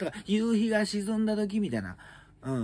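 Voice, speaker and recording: Light background noise sits under a somewhat breathy voice with a dark, mellow tone. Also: man. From Japan. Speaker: comedian; comedian news commentator. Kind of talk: solo news commentary chat. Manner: casual, filler-heavy. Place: home room. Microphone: phone near.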